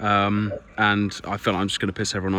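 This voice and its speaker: A man with an English accent speaks at a very fast pace, his very deep, low voice carrying a bright, sharp tone. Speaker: amateur radio operator. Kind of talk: casual vlog narration. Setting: outdoors.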